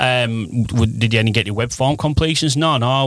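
A man is speaking. He has a Teesside accent. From northern England, Teesside (Redcar area). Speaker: marketing agency managing director. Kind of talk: casual interview chat.

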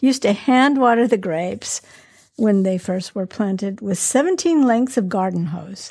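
A woman with a somewhat breathy, dark, mellow tone speaks at medium pitch and a moderate pace, her intonation lively. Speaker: podcast host. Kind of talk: casual chat.

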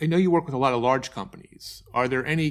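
A man talking at a very fast pace, on a very clean recording with a silent background. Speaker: podcast host and book publishing coach. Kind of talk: interview conversation.

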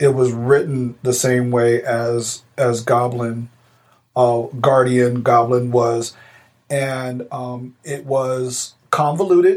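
A man at medium pitch, very slow and monotone, with flat intonation. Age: 40s. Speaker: podcast co-host, navy veteran. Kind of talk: casual chat.

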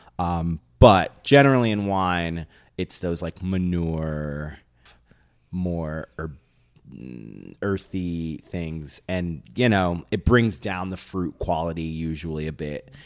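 Delivered at a very slow pace, the speech has ordinary pitch variation and a New York accent. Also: man, very deep, low pitch for a man. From New York City. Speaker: wine podcast co-host. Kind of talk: casual chat.

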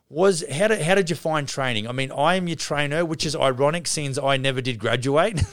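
A man with a non-native accent talks at a fairly quick pace with hardly any pauses and ordinary pitch variation, over noticeable background noise. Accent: non-Canadian accent, self-described. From outside Canada, immigrant. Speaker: podcast host and construction company CEO. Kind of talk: casual interview chat.

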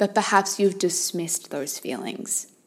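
A woman talks at a moderate pace at medium pitch in an unremarkable speaking voice. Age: 30s. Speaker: life coach and podcast host. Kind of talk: solo monologue podcast. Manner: warm, conversational.

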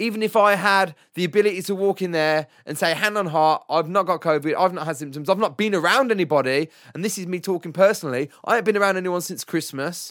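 A man with a high pitch speaks in a furious tone at a very fast pace with ordinary pitch variation, on a very clean recording with a silent background. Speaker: podcast host and musician. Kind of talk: angry rant. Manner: furious, worked-up, venting with pointed sarcasm; emphatic, rapid-fire, sweary.

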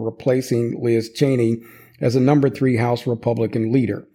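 His voice has a medium pitch for a man and a dark, mellow tone. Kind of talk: angry political rant. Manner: furious, profane, sneering and sarcastic, spitting insults at political figures; indignant, with hesitant fillers as he ad-libs over his script.

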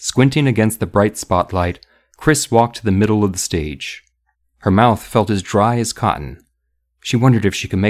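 The background is quiet as the reading voice, unforced, shows ordinary pitch variation.

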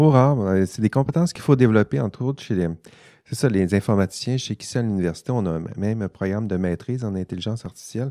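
A man with a Saguenay–Lac-Saint-Jean accent talks at a very fast pace in a fairly low, dark, mellow voice, his intonation lively and his loudness swinging widely. The recording is very clean with a silent background, and the sound is dry and close with no echo. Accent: Saguenay-Lac-Saint-Jean Quebec French. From Quebec, Saguenay-Lac-Saint-Jean. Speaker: podcast host, ethics professor. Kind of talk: casual panel discussion.

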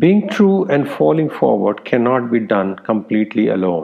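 A man with a medium pitch and vocal fry speaks at a moderate pace, his intonation lively.

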